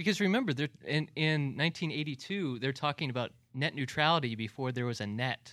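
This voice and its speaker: With hardly any pauses and a fairly quick pace, a man with an unremarkable speaking voice talks at a fairly high pitch with ordinary pitch variation, recorded very cleanly over a silent background. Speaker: film blogger. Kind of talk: casual film discussion.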